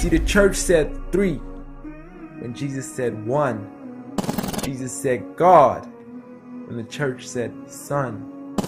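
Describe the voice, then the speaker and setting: A man is speaking. Music plays in the background. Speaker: spoken word poet. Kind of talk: spoken word poetry performance.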